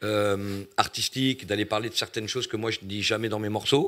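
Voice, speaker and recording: On a very clean recording with a silent background, the speaker keeps a moderate pace and fairly even intonation. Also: man. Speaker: rapper. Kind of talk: casual chat.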